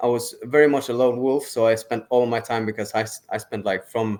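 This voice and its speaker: Here a man talks at a fairly quick pace. His pitch is medium, and his intonation is fairly even. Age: 20s. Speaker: trader. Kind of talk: interview. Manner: halting.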